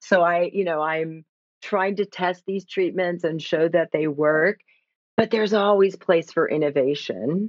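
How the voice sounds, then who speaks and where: A woman with an American accent talks in a plain, everyday voice at a moderate pace. Her pitch is fairly low, with ordinary variation. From United States. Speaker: clinical psychologist. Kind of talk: interview.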